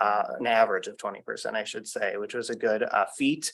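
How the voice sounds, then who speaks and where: Speaking with an American accent, a man keeps a moderate pace. His tone is bright and sharp. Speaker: state legislator. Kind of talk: public meeting remarks.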